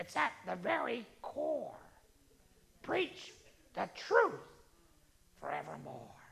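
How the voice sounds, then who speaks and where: This is a put-on character voice with a high pitch. It goes at a fairly slow pace with very wide pitch swings. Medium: solo performance. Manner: blunt, confident.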